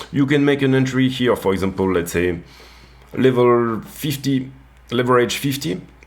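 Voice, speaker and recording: A man speaks with a French accent at a medium pitch. His intonation is lively. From France. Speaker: crypto trading youtuber. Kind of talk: market analysis tutorial. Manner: hesitant, many fillers and repeats.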